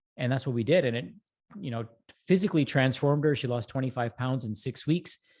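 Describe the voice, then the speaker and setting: Talking very fast, a man keeps a medium pitch with ordinary pitch variation. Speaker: breathwork expert, health practitioner. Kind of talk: educational talk on a live show.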